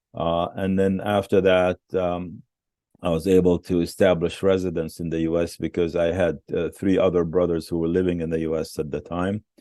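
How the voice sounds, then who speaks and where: A man with an Arabic accent speaks at a very deep, low pitch in a dark, mellow tone. His intonation is monotone and flat. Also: moderate pace, quiet background. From West Bank, Palestine. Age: 70s. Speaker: museum founder and businessman. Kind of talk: interview. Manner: halting, many fillers.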